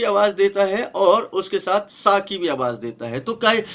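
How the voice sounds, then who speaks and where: With a non-native accent, a man speaks in a high pitch that swings very widely. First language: not Hindi (speaking Hindi). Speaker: pastor and Bible numerology teacher. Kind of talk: Bible study lecture. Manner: halting, with many fillers.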